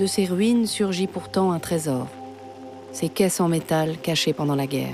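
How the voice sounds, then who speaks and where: A woman's fairly low, serious voice at a fairly slow pace with ordinary pitch variation, over music in the background. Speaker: documentary narrator (voice-over). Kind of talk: documentary narration. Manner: serious, measured.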